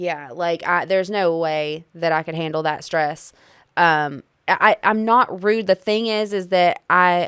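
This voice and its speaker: In a very clean recording with a silent background, a woman with a fairly low pitch and ordinary pitch variation speaks at a fairly slow pace in an ordinary speaking voice. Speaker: married couple podcast co-host. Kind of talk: casual chat.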